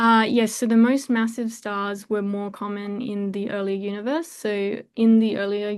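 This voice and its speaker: With an Australian accent, a woman speaks at medium pitch and a fairly slow pace. Her intonation stays fairly even against a quiet background. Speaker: astrophysics PhD student. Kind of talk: Q&A answer after lecture.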